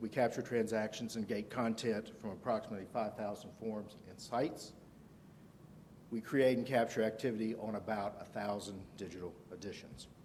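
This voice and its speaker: Speaking with a Southern US accent, a man keeps a moderate pace and fairly even intonation at a fairly low pitch. His loudness swings widely. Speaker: conference speaker, analytics manager. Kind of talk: conference presentation.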